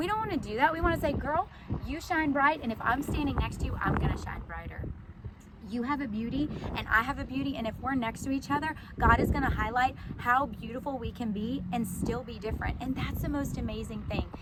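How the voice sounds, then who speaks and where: Loud and animated, a woman with a high pitch and ordinary pitch variation talks at a fairly quick pace amid noticeable background noise and audible room echo. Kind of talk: casual inspirational talk to camera. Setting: outdoors in a sunflower field.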